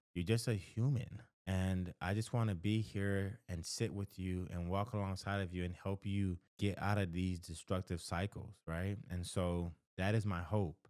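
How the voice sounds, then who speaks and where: On a very clean recording with a silent background, a man with a Haitian accent speaks in a very deep, low voice at a fairly slow pace, his intonation fairly even. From Haitian family in the United States. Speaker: counselor. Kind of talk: advice talk to camera. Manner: conversational, with false starts.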